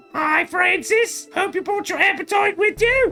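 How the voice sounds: Faint music plays behind a female-sounding put-on character voice. Its pitch is extremely high, and the pace is moderate.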